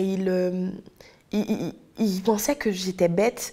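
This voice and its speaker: Speaking at a very slow pace, a woman with a Haitian accent has a dark, mellow tone. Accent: Haitian Creole. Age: 20s. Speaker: testimony guest, history graduate. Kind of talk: testimony. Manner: halting, many repetitions and fillers.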